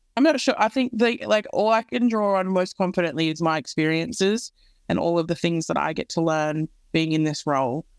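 In an Australian accent, a woman talks at a fairly quick pace with a fairly low pitch and lively intonation, on a very clean recording with a silent background and a dry, close sound with no echo. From Australia, Central West New South Wales. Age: 20s. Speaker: co-CEO of a mentoring nonprofit. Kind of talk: podcast interview.

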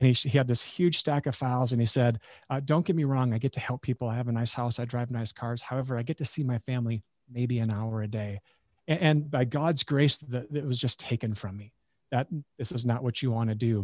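With an Upper Midwest accent, a man speaks at a fairly quick pace and medium pitch, his intonation fairly even, on a very clean recording with a silent background. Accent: Upper Midwest American. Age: 40s. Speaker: chiropractor and functional medicine doctor. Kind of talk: casual interview chat.

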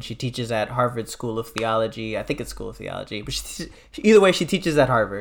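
Vocal fry runs through this man's voice. He talks with an American accent. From US Midwest (Detroit). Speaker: nonprofit president and doctoral student. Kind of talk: casual chat.

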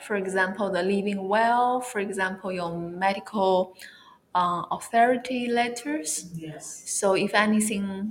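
A woman with a medium pitch and a Chinese accent. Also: ordinary pitch variation, moderate pace. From China. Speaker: wellness influencer. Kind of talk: interview.

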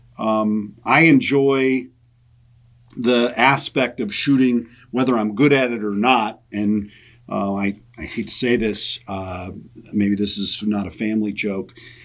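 A man with a normal speaking voice, fairly low in pitch, ordinary pitch variation, a fairly slow pace, and a very clean recording with a silent background. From US Midwest, western South Dakota. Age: 50s. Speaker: gun rights lobbyist. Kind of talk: casual interview.

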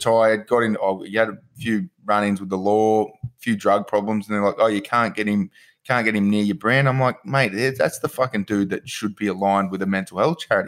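A man with an Australian accent speaks quickly, with hardly any pauses, a fairly low pitch and ordinary pitch variation, in a very clean recording with a silent background. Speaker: podcast host. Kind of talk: casual chat.

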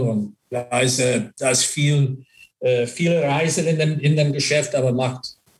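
Somewhat breathy, the voice carries an English accent and fairly even intonation. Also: man. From US, Buffalo area. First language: English (speaking German). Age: 50s. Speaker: former ice hockey player and manager. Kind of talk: interview. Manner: halting, mixes English into German.

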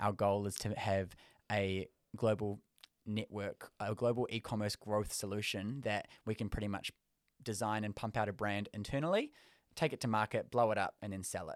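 A fairly low-pitched man's voice with a New Zealand accent, fairly even intonation, dry and close with no echo, on a very clean recording with a silent background. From South Auckland. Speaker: creative director, business founder, reality TV contestant. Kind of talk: casual podcast interview. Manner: fast talker.

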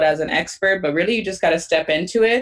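A woman with an American accent speaks in a plain, everyday voice. Her pitch is fairly low, with ordinary pitch variation. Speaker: teacher and podcaster. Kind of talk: interview chat.

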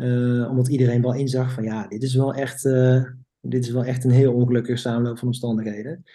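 The tone is dark and mellow, with monotone, flat intonation. The pace is fairly quick. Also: man, medium pitch for a man. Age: 30s. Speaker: physiotherapist and business owner. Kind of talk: podcast interview. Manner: halting.

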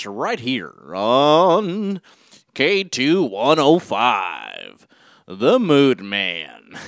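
A man does a put-on character voice at a very slow pace. His pitch is fairly high and swings very widely. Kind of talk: announcer-style radio patter.

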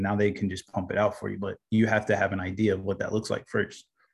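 Delivery is very fast, in a Midwestern American accent. The intonation stays monotone and flat. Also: man. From Indiana, US Midwest. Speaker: video content business owner. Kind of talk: casual interview chat.

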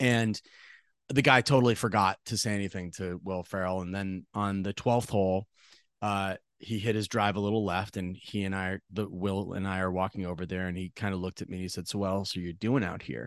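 Recorded dry and close with no echo against a quiet background, a man with an American accent talks at a fairly quick pace in a fairly low pitch, with fairly even intonation and an unremarkable speaking voice. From central Massachusetts. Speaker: comedic actor and impressionist. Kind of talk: interview conversation.

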